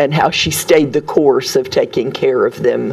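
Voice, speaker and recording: There is noticeable background noise. Over it, a woman speaks at a fairly slow pace. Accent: Southern US. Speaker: storyteller. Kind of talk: interview answer.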